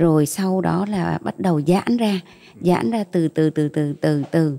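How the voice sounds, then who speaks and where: Dark and mellow in tone, a woman's fairly low voice moves very slowly over a quiet background. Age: 40s. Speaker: mother giving faith testimony; interview guest. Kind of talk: testimony. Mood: calm, earnest faith testimony. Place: studio. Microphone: handheld.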